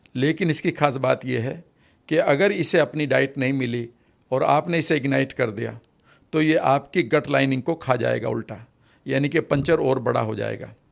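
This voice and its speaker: A man with a medium pitch and ordinary pitch variation speaks with vocal fry on a very clean recording with a silent background. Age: 60s. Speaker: NLP expert. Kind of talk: podcast interview.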